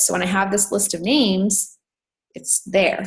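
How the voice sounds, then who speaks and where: Somewhat breathy, the woman's voice rests at a medium pitch. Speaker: network marketing coach, guest speaker. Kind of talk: online team training talk. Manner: fast.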